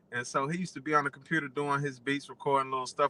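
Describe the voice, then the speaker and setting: There is noticeable background noise as a man talks very fast. His fairly high voice stays flat and monotone. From Dayton, Ohio. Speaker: rapper. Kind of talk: radio interview. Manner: casual, hesitant with fillers.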